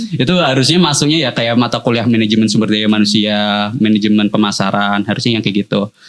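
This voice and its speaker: A man with a Jakarta accent talks very fast at a fairly low pitch, with ordinary pitch variation and very even loudness. Noticeable background noise runs underneath. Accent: Jakarta-like Indonesian. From Purwokerto, Central Java, Indonesia. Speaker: university lecturer. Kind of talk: casual interview.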